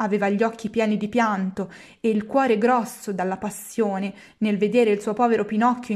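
The reading voice sounds natural. Its intonation remains fairly even.

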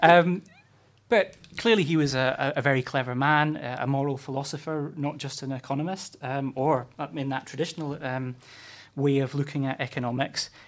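A man with a Scottish accent, a fairly high pitch and fairly even intonation, in a very clean recording with a silent background. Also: moderate pace. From Scotland, Fife area. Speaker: campaigns manager, former councillor. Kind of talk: interview. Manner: hesitant, many fillers.

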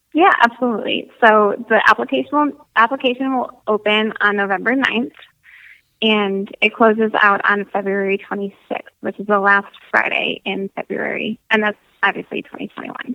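A woman with an American accent talks in a normal speaking voice at a moderate pace. Her fairly high pitch moves with ordinary variation. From Michigan. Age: 20s. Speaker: Air Force veteran, nonprofit coordinator. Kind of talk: casual interview.

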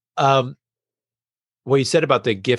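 The recording has a dry, close sound with no echo and a quiet background. A man speaks with vocal fry. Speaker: podcast guest and creator. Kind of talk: casual interview conversation.

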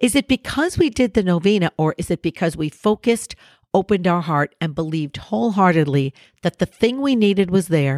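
In a very clean, dry and close recording with no echo, a woman talks at a fairly quick pace with an animated tone and lively intonation. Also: fairly low pitch for a woman. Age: 60s. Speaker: podcast host. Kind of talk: motivational monologue.

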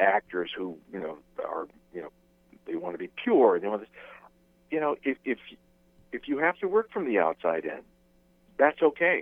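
A man speaks at a moderate pace with big swings in loudness. His pauses are long and frequent. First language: Spanish. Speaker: actor. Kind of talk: interview. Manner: halting.

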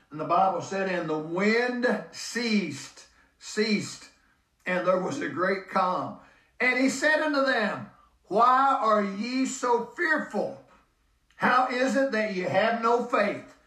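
At a very slow pace, a man raises and projects his high-pitched voice with lively intonation. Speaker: preacher. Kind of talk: sermon. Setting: church. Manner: emphatic, urgent, preacher in full flow.

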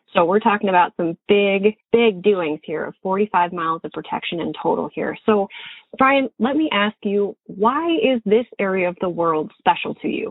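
A woman with an American accent speaks in a plain, everyday voice at medium pitch, at a moderate pace, with lively intonation. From Montana. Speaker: podcast host and fishing guide. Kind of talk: interview; scripted narration.

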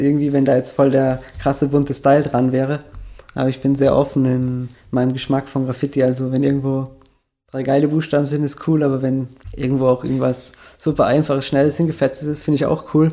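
A man talks at a fairly quick pace with a fairly high pitch. His tone is dark and mellow, and his intonation is flat and monotone. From Austria, small village (Bregenz area, Vorarlberg). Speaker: graffiti artist and illustrator. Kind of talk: interview, casual chat.

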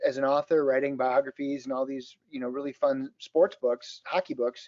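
Speaking in an Upper Midwest accent, a man keeps a moderate pace with lively intonation. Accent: Upper Midwest (Minnesota). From southern Minnesota. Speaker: author and motivational speaker. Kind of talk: podcast interview.

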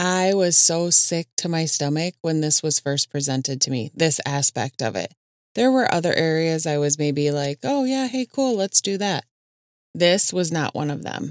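A woman with a Minnesotan accent speaks at a moderate pace in a fairly low pitch with lively intonation, in a dry, close sound with no echo. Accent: Minnesota. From Minnesota, US Midwest. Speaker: podcast host. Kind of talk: casual solo podcast monologue.

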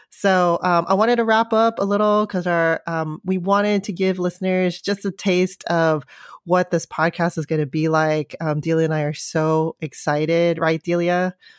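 A woman with a Californian accent, fairly low in pitch, with fairly even intonation and hardly any pauses, in a dry, close sound with no echo and a very clean recording over a silent background. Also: moderate pace. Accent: Californian American English. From US West Coast, San Francisco. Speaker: podcast co-host, parent. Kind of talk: casual chat.

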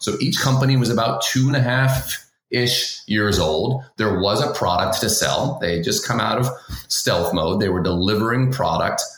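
His medium-pitched voice has lively intonation and very even loudness at a moderate pace. Noticeable background noise is present. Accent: American. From Boston, Massachusetts. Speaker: tech sales executive. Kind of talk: interview.

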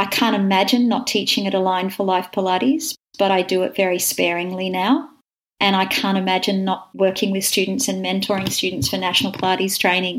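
Woman at a medium pitch with an Australian accent, at a fairly quick pace with ordinary pitch variation. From Wagga, country New South Wales, Australia. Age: 50s. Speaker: Pilates teacher and studio owner. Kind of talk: interview conversation.

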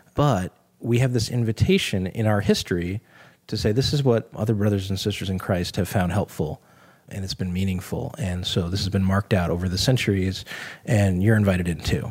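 A man speaks in a normal speaking voice at a fairly low pitch, with ordinary pitch variation and a fairly quick pace. The recording is very clean, with a silent background. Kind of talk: casual Bible study discussion.

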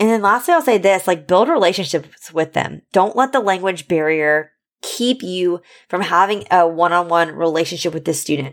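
A plain, everyday voice speaks at a moderate pace in a very clean recording with a silent background. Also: woman, fairly low pitch for a woman, ordinary pitch variation. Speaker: podcast host and former high school science teacher. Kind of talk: solo podcast Q&A episode. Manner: warm, encouraging, casual.

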